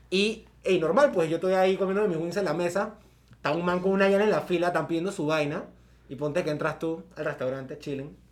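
A high-pitched man's voice at a very fast pace, with ordinary pitch variation. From Panama, Coclé roots, born in San Fernando. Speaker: podcast co-host. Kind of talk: casual chat.

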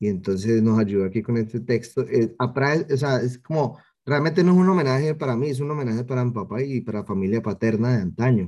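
A man's medium-pitched voice with a dark, mellow tone, at a moderate pace against a quiet background. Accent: Cali. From Cali, Colombia. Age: 20s. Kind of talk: interview.

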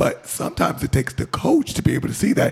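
Noticeable background noise runs behind a man who speaks at a fairly quick pace. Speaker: radio co-host and coach. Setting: radio studio. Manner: animated, laughing.

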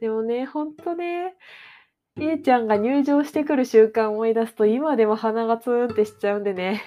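A woman speaks at a fairly high pitch and a moderate pace. Her intonation is lively. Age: 20s. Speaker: podcast host, freelance anime industry worker. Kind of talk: casual solo talk.

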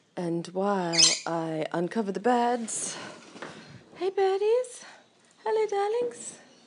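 Long, frequent pauses break up this very slow speech over noticeable background noise. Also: woman. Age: 40s. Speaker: podcaster. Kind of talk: casual monologue while cooking. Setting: at home in kitchen.

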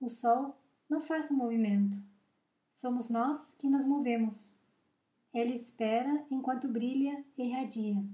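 This woman has a high pitch and a dark, mellow tone, her intonation fairly even. She speaks at a very slow pace with long, frequent pauses. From Uruguay. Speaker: psychologist and podcast host. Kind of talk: reading aloud own reflective text.

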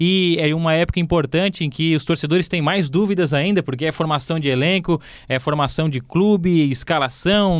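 A man speaks in a high voice. His pace is moderate and his pitch variation ordinary. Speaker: sports journalist, club beat reporter. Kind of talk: casual football podcast chat.

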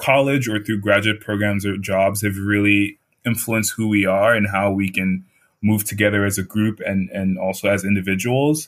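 An American accent with fairly even intonation at a moderate pace, on a very clean recording with a silent background. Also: man. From Nigeria. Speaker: fellowship student. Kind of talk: interview.

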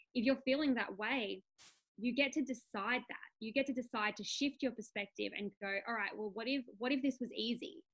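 This woman has a high pitch, ordinary pitch variation and a moderate pace. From Australia. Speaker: business coach and podcast host. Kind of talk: casual interview.

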